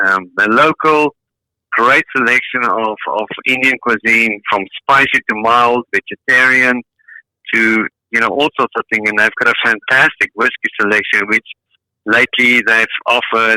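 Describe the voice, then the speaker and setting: In a South African accent, a man with a medium pitch and a bright, sharp tone speaks at a fairly slow pace, with fairly even intonation and very even loudness, in a dry, close sound with no echo. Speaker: caller. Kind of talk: casual chat.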